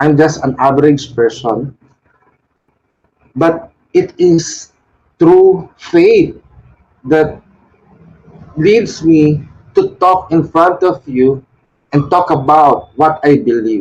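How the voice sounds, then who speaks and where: A man with a Filipino accent at a fairly high pitch, with ordinary pitch variation and very even loudness, at a very slow pace with long, frequent pauses. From Philippines. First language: Tagalog. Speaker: Wiccan shrine leader. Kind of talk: devotional talk. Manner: halting.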